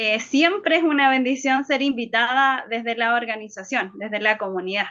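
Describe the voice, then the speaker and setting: A woman with a high pitch speaks at a moderate pace and ordinary pitch variation. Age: 30s. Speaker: lecturer. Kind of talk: lecture. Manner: halting.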